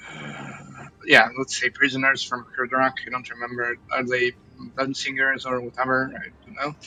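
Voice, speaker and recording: A man talks at a moderate pace in a medium pitch, his intonation monotone and flat. Noticeable background noise runs behind him. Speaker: gaming streamer. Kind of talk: live gameplay commentary. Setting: live stream. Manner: halting, many fillers.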